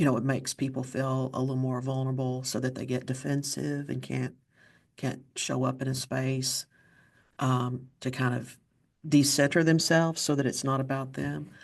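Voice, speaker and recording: With an Appalachian accent, a woman speaks at a moderate pace in a very deep, low pitch and a monotone, flat intonation. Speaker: podcast host. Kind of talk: interview conversation.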